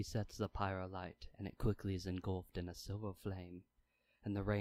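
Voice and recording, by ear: A natural voice reads aloud here.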